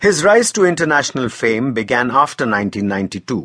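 A man uses a dramatic tone, captured with a dry, close sound and no echo. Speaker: audiobook narrator. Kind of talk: dramatic audiobook narration of a crime memoir. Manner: grave, measured, dramatic and storytelling, with ominous emphasis.

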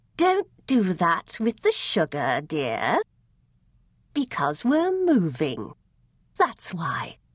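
A strained, put-on character voice, female-sounding and medium in pitch for a woman, at a very slow pace with long, frequent pauses. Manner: through gritted teeth, tense and strained.

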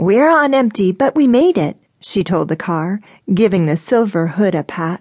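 A woman with an unremarkable speaking voice talks fairly slowly at a medium pitch, with lively intonation. The sound is dry and close with no echo, over a quiet background. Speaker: audiobook narrator. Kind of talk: dramatic audiobook narration, scripted romance fiction read aloud. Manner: expressive, vivid storytelling with shifts into character voices for quoted lines.

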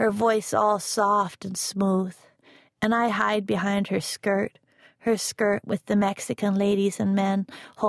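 Here the reading comes in an unforced reading voice.

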